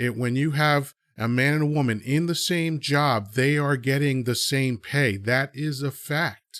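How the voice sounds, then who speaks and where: The speech comes in a plain, everyday voice at a fairly slow pace, with hardly any pauses, fairly even intonation and very even loudness. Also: man, fairly high pitch for a man. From USA (born in Dominican Republic, moved at age two). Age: 50s. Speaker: podcast host. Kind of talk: opinionated discussion. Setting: live audio chat app.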